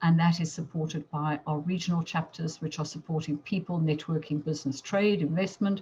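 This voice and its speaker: Her voice somewhat breathy and dark, mellow in tone, a woman speaks with ordinary pitch variation. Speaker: chamber of commerce chair. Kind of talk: business presentation. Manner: fast.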